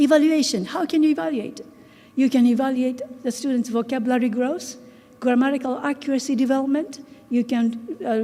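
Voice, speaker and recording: A woman talks at a fairly quick pace with a Japanese accent, her pitch high and her intonation fairly even. Noticeable background noise runs underneath. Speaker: English teacher and researcher. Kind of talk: conference talk. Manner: halting.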